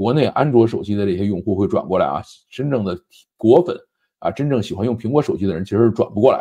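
Over a quiet background, a man speaks very fast in a dark, mellow tone at a medium pitch. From China. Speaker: tech and current affairs commentator; commentator. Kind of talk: solo commentary monologue; commentary on tech and politics. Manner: conversational, frequent filler particles. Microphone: lapel.

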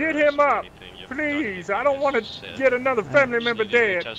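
Over noticeable background noise, a man uses a raised, projected voice at an extremely high pitch with ordinary pitch variation. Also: moderate pace, big swings in loudness. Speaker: roleplay game player. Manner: taunting, loud.

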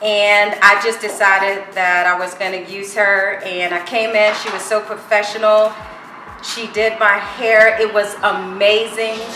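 Over music in the background, a woman speaks at a fairly slow pace in a monotone, flat intonation, with audible room echo. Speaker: customer giving a review. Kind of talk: testimonial.

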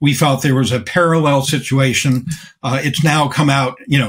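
Speaking with an American accent, a man uses a fairly high pitch, a somewhat breathy voice, fairly even intonation and a moderate pace over a quiet background. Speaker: organic farmer and activist; guest. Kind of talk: interview. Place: office. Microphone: webcam.

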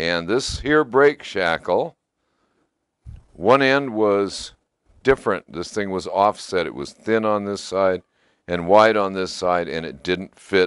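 A man speaks slowly at a fairly low pitch. His tone is clear and smooth, and his intonation is lively.

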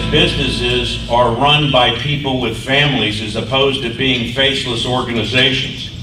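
Noticeable background noise sits under a man talking at a moderate pace in a flat, monotone way. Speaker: state agency director. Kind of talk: speaker introduction. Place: hall.

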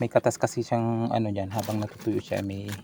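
The speaker is a man. His pitch is fairly low. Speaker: home gardening vlogger. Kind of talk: casual tutorial vlog. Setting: outdoors on a rooftop. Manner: stumbling over words.

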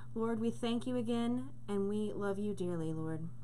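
Light background noise sits behind a woman whose very deep, low voice swings widely in pitch at a fairly slow pace. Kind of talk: spoken prayer. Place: home room. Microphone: webcam.

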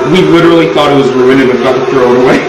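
The clip has audible room echo and loud background noise. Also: man. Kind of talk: casual cooking chat. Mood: playful nostalgic banter. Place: kitchen. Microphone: camera far.

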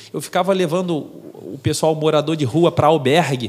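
A man speaks at a fairly quick pace. His pitch rises and falls in an ordinary way. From Brazil. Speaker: marine officer and philosophy teacher; philosophy teacher. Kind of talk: interview. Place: studio. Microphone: studio mic.

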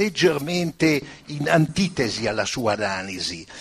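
A man speaks at a fairly slow pace over music in the background. His pitch is fairly high and swings very widely. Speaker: audience member. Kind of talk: audience question. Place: hall.

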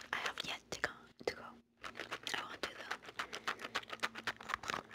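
The speaker is a woman whispering. Her pace is fairly slow. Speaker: ASMR creator. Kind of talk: ASMR whispered ramble to camera. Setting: home, close-mic, gum chewing. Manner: whispered, chatty, casual. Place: home room. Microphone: phone near.

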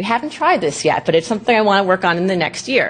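A woman talks very fast, her pitch rising and falling in an ordinary way. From New York. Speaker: genealogy activist; presenter. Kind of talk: conference lecture. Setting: stage with audience. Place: hall.

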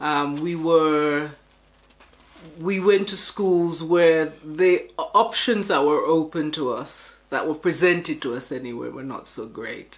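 At a very slow pace, a woman with a London accent speaks at a very deep, low pitch with ordinary pitch variation. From Jamaica. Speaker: teacher. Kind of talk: documentary interview. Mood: reflective, calm. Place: home room.

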